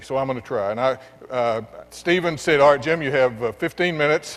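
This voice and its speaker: A man with a Texan accent, fairly high pitch, ordinary pitch variation, and a moderate pace. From West Texas. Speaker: education nonprofit executive. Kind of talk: keynote speech. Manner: halting.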